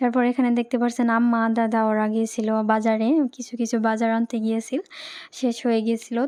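A woman talks at a fairly quick pace with a fairly high pitch. Her tone is slightly mellow and her intonation flat and monotone.

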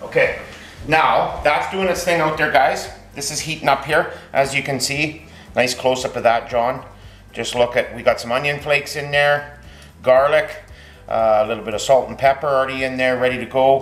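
Amid audible room echo, a man speaks at a moderate pace with fairly even intonation. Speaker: home cooking show host. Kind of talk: cooking tutorial chat. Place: kitchen. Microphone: camera far.

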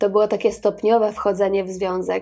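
A woman's dark, mellow tone with a Polish accent. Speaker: video channel host. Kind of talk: scripted narration of a biographical video.

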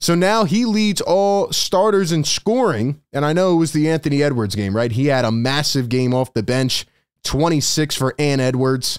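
A man's lively intonation at a moderate pace with hardly any pauses, over a quiet background. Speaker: sports channel host. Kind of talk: commentary. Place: home room. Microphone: studio mic.

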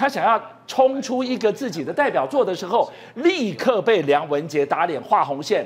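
With an animated tone and very wide pitch swings, a man speaks high at a moderate pace. Noticeable background noise is present. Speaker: political talk show host. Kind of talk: political talk show.

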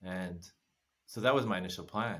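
A man with an American accent at a moderate pace, with fairly even intonation. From United States. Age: 50s. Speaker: former massage therapist, travel guest. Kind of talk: casual chat. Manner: laughs often. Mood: calm, reflective storytelling. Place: home room. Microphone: earbuds.

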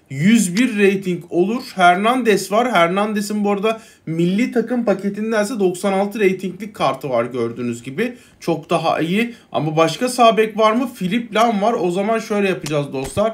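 A man's high-pitched voice, fairly slow and full of lively intonation. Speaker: gaming YouTuber; gaming content creator. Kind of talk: gameplay commentary. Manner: casual, hesitant fillers. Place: home room.

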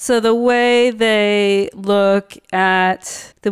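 A woman with an ordinary speaking voice, medium in pitch and fairly even in intonation. The recording is very clean, with a silent background. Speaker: art therapist. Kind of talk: casual interview.

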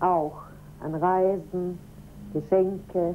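A woman speaks in a dark, mellow tone. Her intonation stays fairly even over light background noise. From Germany. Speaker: teacher's wife. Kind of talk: interview. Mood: calm, friendly. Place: home room.

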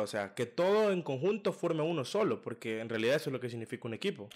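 Lively intonation comes through against a quiet background. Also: man. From El Salvador. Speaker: podcast host. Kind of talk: casual interview. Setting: studio. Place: home room. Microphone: studio mic.

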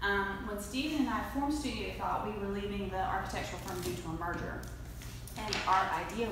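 A woman with an American accent, fairly quick pace, strong room echo and noticeable background noise. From Floyd, Virginia, US. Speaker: marketing and web design presenter. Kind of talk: educational presentation. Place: meeting room. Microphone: camera far.

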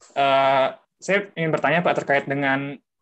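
A man talks with a fairly high voice, neither fast nor slow. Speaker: physics student. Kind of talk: asking questions. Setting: video call. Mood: polite, tentative. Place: home room. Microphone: video call.

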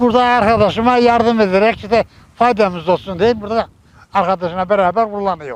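A high-pitched man at a fairly quick pace, with ordinary pitch variation and very even loudness. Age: 80s+. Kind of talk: interview answer.

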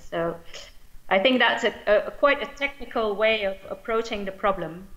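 A woman with a Dutch accent speaks at a fairly slow pace. Her fairly high voice has a bright, sharp tone. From Belgium. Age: 40s. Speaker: politician. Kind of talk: conference speech. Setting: video call. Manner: hesitant, many fillers. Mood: earnest, thoughtful. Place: home room. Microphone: webcam.

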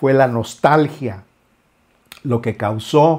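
A man's dark, mellow voice at a very slow pace, with ordinary pitch variation and a quiet background. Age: 50s. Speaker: musician and YouTuber. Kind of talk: casual vlog monologue. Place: studio. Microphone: lapel.

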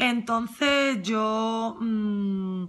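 A woman speaks with a fairly high pitch and ordinary pitch variation. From Andalusia, Huelva; Andalusia. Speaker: former course student. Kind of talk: testimonial. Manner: halting. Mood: warm, enthusiastic. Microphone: phone near.

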